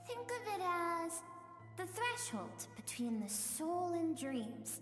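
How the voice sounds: Over clear background music, a woman does a put-on character voice at extremely high pitch, speaking slowly with big pitch swings.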